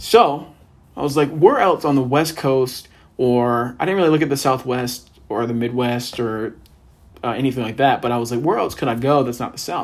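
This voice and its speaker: At a fairly quick pace, a man with a plain, everyday voice speaks at a fairly high pitch with ordinary pitch variation. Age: 20s. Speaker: podcast host and law student. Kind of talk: casual solo monologue. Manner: casual, filler-heavy.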